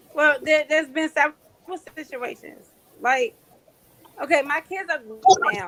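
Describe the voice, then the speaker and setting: A woman's raised, projected, high-pitched voice at a moderate pace, with lively intonation, big swings in loudness, long and frequent pauses, and noticeable background noise. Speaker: caller on live stream. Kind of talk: casual chat.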